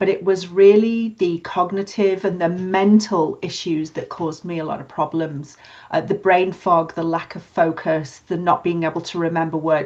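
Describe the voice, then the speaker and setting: Fairly even intonation in a British accent, at a moderate pace with big swings in loudness. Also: woman, fairly low pitch for a woman. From UK. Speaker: podcast co-host, nurse and HR manager. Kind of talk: casual chat.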